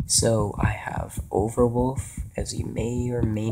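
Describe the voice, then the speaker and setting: A soft-spoken man amid noticeable background noise. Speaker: gaming YouTuber. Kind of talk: gameplay commentary.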